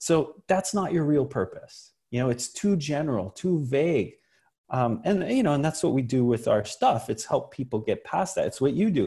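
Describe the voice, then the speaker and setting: A man with a fairly high pitch and a dark, mellow, somewhat breathy tone speaks at a moderate pace, his pitch swinging very widely while his loudness stays very even. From US, Italian immigrant family. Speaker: entrepreneur. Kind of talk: casual chat.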